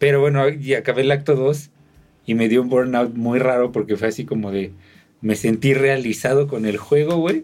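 Spoken with a Mexican accent, the delivery keeps a moderate pace. Pitch variation is ordinary. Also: man, medium pitch for a man. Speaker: podcast co-host. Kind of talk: casual chat. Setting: video podcast recording.

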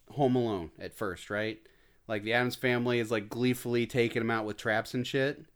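A man with an ordinary speaking voice and an American accent, medium in pitch, fairly even in intonation and moderate in pace, on a very clean recording with a silent background. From Indiana, US Midwest. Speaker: indie film director. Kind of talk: casual chat.

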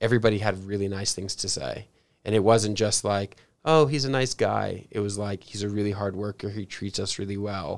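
A man with an American accent speaks in a normal speaking voice, fairly low-pitched, at a fairly quick pace with fairly even intonation, on a very clean recording with a silent background. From San Diego, California. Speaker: podcast co-host. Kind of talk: casual interview.

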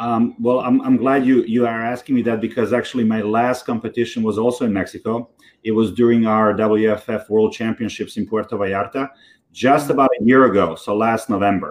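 Against a quiet background, a man talks at a fairly quick pace with a medium pitch and fairly even intonation. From Serbia, Belgrade. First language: Serbian. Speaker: fitness athlete. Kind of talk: interview. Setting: video call.

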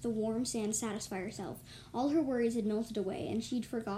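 The intonation in this plain reading aloud stays fairly even.

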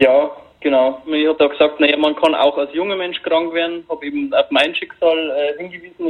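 A man's high voice with ordinary pitch variation at a moderate pace. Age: 20s. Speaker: long covid patient. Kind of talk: interview. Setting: phone call.

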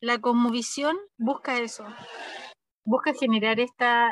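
At a fairly slow pace, a woman talks at a fairly high pitch, the sound dry and close with no echo. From northern Chile, Arica. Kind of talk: interview. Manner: halting, with many repetitions and fillers.

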